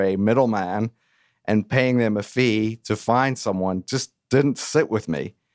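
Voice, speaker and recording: A man speaks at a moderate pace in an ordinary speaking voice, medium in pitch with ordinary pitch variation. The sound is dry and close with no echo. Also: very clean recording, silent background. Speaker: business owner. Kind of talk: interview. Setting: radio studio.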